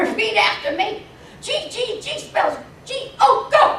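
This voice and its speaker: A woman's shrill, put-on character voice, extremely high, with lively intonation and slight echo. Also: fairly slow pace, big swings in loudness. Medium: read story. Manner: shrill, rigid.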